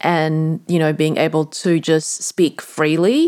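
This woman's voice has a very deep, low pitch. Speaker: podcast host and transformation coach. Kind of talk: solo reflective monologue. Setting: bedroom late at night. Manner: rambling, meandering.

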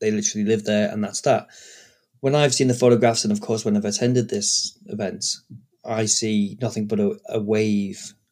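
A man with an English accent, a fairly low pitch, monotone and flat intonation, and a moderate pace. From Britain. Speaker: podcast co-host, historical re-enactor. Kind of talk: casual chat. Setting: home recording.

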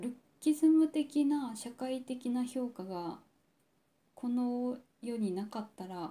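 At a very slow pace with long, frequent pauses, a woman speaks at a high pitch in a dark, mellow tone with ordinary pitch variation. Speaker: podcast host. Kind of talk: personal monologue. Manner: deliberately low-energy, subdued delivery; halting, many pauses and fillers.

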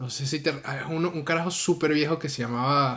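A moderate pace in a Venezuelan accent. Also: man. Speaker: podcast co-host, university student. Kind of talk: casual chat.

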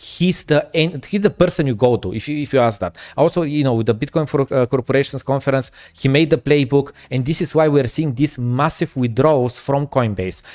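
A man speaks with a Bulgarian accent at a fairly high pitch. He talks at a fairly quick pace with ordinary pitch variation. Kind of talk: casual chat. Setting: video call.

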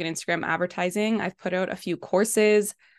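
A woman with a Western Canadian accent speaks at a medium pitch with fairly even intonation, the sound dry and close with no echo against a quiet background. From Canada, British Columbia. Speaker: Facebook and Instagram ads specialist. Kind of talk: podcast interview.

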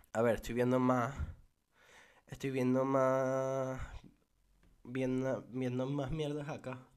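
Audible room echo surrounds a man of medium pitch who talks very slowly and in a flat monotone, leaving long, frequent pauses. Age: 20s. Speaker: podcaster. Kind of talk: casual solo podcast monologue. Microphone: mic too far at first.

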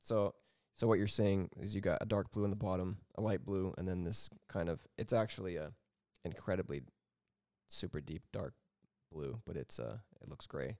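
A man with a fairly low pitch, vocal fry and a dark, mellow tone speaks at a fairly quick pace. The recording is very clean, with a silent background and a dry, close sound with no echo. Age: 30s. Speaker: hobbyist maker, 3D printing. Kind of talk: casual chat. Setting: at his home.

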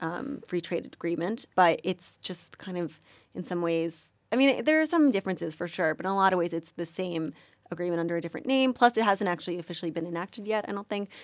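A woman with an American accent and an unremarkable speaking voice, fairly low in pitch, talking at a fairly quick pace on a very clean recording with a silent background. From New York, US. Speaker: journalism student. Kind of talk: casual interview.

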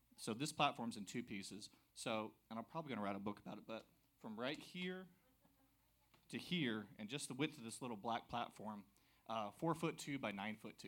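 A man with an American accent speaks at a fairly quick pace and a medium pitch, his intonation lively. He leaves long, frequent pauses. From US South, South Carolina. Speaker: church member. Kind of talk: testimony. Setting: church with congregation. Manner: energetic.

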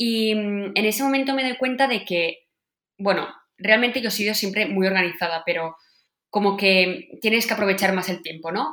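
Speaking at a moderate pace, a woman uses ordinary pitch variation in a bright, sharp tone. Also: medium pitch for a woman. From Catalonia, Spain (Sant Joan, Vallès). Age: 20s. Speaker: field hockey player. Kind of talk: interview. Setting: remote call from home office.

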